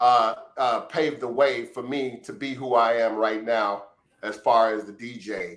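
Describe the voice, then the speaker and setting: Here a man talks with a Chicago accent. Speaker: house music DJ, former dancer. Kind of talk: interview answer, storytelling. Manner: casual.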